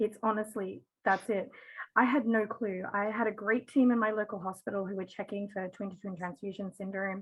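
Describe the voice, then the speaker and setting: This woman speaks with an Australian accent at a fairly quick pace. Her medium-pitched voice is somewhat breathy, with fairly even intonation. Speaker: parent of twins, patient advocate. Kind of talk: panel discussion.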